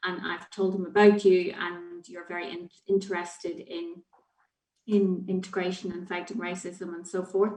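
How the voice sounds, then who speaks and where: A woman speaks with a Northern Irish accent. Her intonation is monotone and flat. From Northern Ireland. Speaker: children's charity head. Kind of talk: panel discussion.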